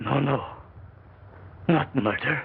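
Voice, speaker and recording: Over light background noise, a man puts on a raspy character voice. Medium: short film. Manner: jittery, clipped, repeating himself.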